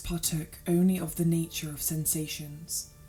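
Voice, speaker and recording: This woman speaks at a moderate pace in a flat, monotone way, with a dark, mellow tone and a British accent. Her voice is somewhat breathy. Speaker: sleep story narrator. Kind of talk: sleep story. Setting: background organ music.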